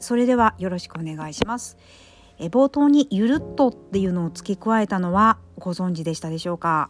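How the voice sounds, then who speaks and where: A woman at a medium pitch, fairly quick and lively in intonation, with big swings in loudness, a dry, close sound with no echo, and music in the background. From Kyushu, Japan. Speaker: podcaster. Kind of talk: casual solo talk. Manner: polite, many filler words.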